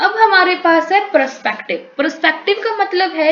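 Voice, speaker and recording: In a Punjabi accent, a woman speaks with very wide pitch swings over noticeable background noise and audible room echo. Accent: Punjabi tone in Hindi. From Punjab, India. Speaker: teacher. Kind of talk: lecture. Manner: code-switching Hindi-English.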